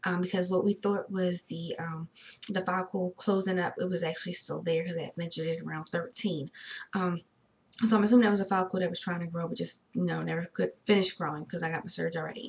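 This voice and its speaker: A woman's fairly low, somewhat breathy voice, animated in tone and very fast in pace. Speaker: vlogger sharing fertility journey. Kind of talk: casual video diary. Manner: animated, stumbling over words.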